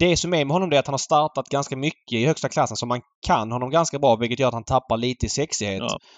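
Words come from a man at a very fast pace. His pitch is medium, varying in an ordinary way. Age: 30s. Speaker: horse racing podcast host. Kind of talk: casual chat.

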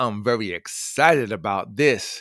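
In a New York accent, the speaker uses lively intonation on a very clean recording with a silent background and a dry, close sound with no echo. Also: man. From New York City (Queens). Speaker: radio host. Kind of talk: inspirational radio talk.

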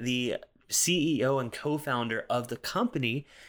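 A man with an American accent speaks in a normal speaking voice, fairly high in pitch, with ordinary pitch variation at a moderate pace. The recording is very clean with a silent background. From US South, South Carolina. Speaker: podcast host and whiskey reviewer. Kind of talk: solo casual monologue. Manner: casual, frequent filler words.

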